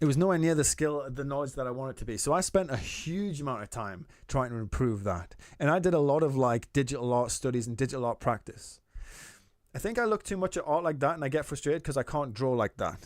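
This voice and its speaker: A man talks at a very fast pace in a Geordie accent, his pitch fairly high and his intonation lively. The recording is very clean, with a silent background. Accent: soft Geordie. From Newcastle, northern England. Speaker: artist streamer giving feedback. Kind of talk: live stream chat.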